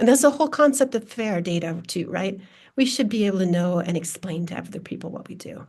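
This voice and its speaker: Speaking at a fairly quick pace with an American accent, a woman uses lively intonation in a somewhat breathy, medium-pitched voice. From US Midwest, Minnesota. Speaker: data science researcher, sociologist. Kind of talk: panel discussion.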